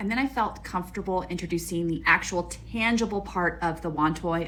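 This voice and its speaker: A woman's medium-pitched voice at a moderate pace. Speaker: cat behavior specialist. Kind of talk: narrated tutorial. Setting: animal shelter. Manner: quiet.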